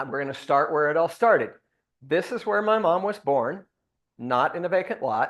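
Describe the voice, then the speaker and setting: Against a quiet background, a man speaks loudly at a high pitch and moderate pace, with very wide pitch swings. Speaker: son of the deceased giving eulogy. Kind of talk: memorial tribute with slideshow.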